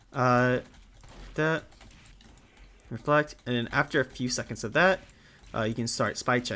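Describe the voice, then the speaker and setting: This man has a bright, sharp tone and medium pitch, speaking at a moderate pace with ordinary pitch variation. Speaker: gamer. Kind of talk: gaming tutorial talk. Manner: stutters; casual.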